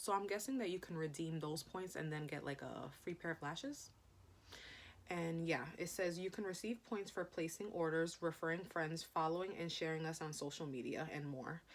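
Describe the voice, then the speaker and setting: In a plain, everyday voice, a woman speaks at a moderate pace with a fairly low pitch and ordinary pitch variation. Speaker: beauty vlogger. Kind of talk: unboxing video. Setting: filming in front of camera. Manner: casual, chatty.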